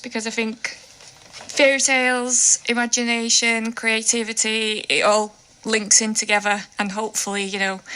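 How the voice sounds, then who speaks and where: A woman's voice, fairly high in pitch, comes through over clearly audible background noise. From Russia. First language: Russian. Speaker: children's book author. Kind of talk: radio interview. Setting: radio studio.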